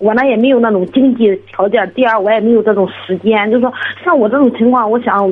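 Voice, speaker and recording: Against noticeable background noise, a woman speaks at a fairly high pitch. Her pace is fairly quick and her intonation fairly even. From Shandong, Jining. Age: 30s. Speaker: caller seeking exam advice. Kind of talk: phone-in advice call. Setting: phone call.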